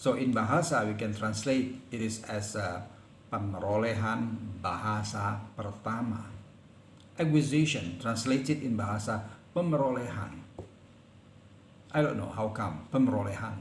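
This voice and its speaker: Someone speaks with a South Sumatran accent. There are long, frequent pauses and audible room echo. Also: man, medium pitch for a man, ordinary pitch variation, moderate pace. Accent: Palembang. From Indonesia, Palembang. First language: Palembangese. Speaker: lecturer. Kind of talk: lecture. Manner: halting.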